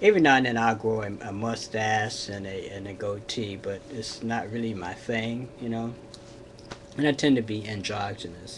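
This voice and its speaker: Over noticeable background noise and audible room echo, a man talks with fairly even intonation while his loudness swings widely. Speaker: vlogger. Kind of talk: casual vlog monologue. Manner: hesitant, many fillers.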